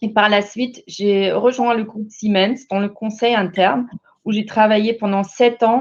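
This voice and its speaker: Her fairly high voice stays monotone and flat. This woman speaks at a fairly slow pace. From Germany, Bavaria. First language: German (speaking French). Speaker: corporate manager. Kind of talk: panel presentation. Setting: online webinar. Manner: halting.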